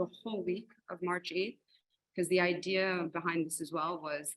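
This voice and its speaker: Bright, sharp in tone, a woman's voice sits at medium pitch. Her intonation stays fairly even. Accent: US Northeastern. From New Jersey / New York, US. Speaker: arts organizer. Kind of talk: panel talk on video call. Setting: video call.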